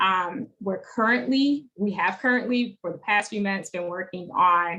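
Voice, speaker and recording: A woman talks in a bright, sharp tone with an Alabama accent. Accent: US Southern (Alabama). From Alabama, Monroeville (rural). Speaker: advocacy organizer. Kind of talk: online teach-in presentation.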